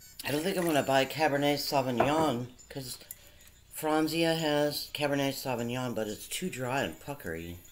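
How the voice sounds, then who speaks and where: Room echo is audible and background noise noticeable. A woman talks with a very deep, low pitch and lively intonation. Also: moderate pace. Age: 60s. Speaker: vlogger. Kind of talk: casual monologue. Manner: rambling, halting.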